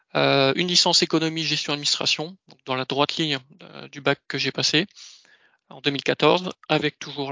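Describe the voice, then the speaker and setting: Delivery comes at a fairly slow tempo. Intonation remains fairly even throughout. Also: man. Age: 30s. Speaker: ERP consultant. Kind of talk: career presentation. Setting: video call.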